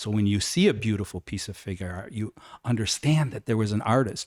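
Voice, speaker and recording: A man speaks in a plain, everyday voice, fairly low in pitch. The sound is dry and close with no echo, on a very clean recording with a silent background. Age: 60s. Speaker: life model. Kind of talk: interview.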